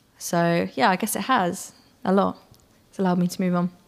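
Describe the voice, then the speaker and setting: A woman is speaking. She talks with a West Country accent. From near Bristol, England. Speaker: singer-songwriter. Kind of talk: interview.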